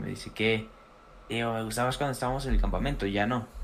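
A man speaks very fast in a Mexican accent. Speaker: friend. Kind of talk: casual chat.

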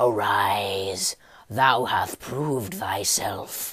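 A raspy, put-on character voice from a man, medium in pitch with ordinary pitch variation, at a very slow pace. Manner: commanding.

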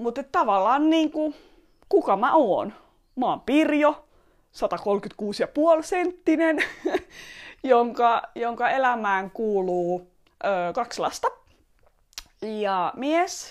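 Over a silent background in a very clean recording, a woman speaks very slowly in a high voice, her pitch swinging very widely, with long, frequent pauses. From Estonia. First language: Estonian (speaking Finnish). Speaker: podcaster and entrepreneur. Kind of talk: personal monologue. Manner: hesitant, many fillers and repetitions.

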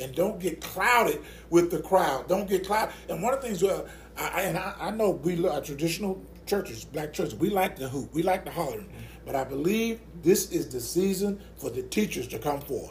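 A fairly quick, lively-intoned man with a high pitch and a Mississippi accent. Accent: US Southern (Mississippi). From rural Mississippi. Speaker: associate pastor, Navy veteran. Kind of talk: casual interview about faith.

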